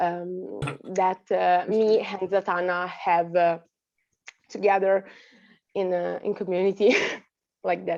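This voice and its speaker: At a fairly slow pace, a woman talks at a medium pitch with monotone, flat intonation. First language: Italian. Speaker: actress. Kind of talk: panel Q&A answer. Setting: festival stage Q&A. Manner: halting, many fillers.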